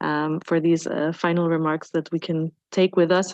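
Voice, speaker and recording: A woman speaks with a German accent at a fairly low pitch. Her intonation is monotone and flat. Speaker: panel moderator. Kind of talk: panel moderation. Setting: conference room with audience.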